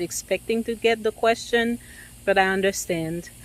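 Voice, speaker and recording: A woman speaks at a moderate pace with a non-native accent. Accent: noticeable foreign. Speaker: realtor. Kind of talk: casual vlog talk to camera. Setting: at a house during an inspection. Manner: hesitant, many filler ums.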